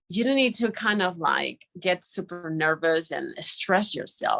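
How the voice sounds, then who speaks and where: A woman is speaking. She has a Spanish accent. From Spain. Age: 30s. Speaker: journalist. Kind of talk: conference talk. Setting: live online broadcast. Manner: animated; halting.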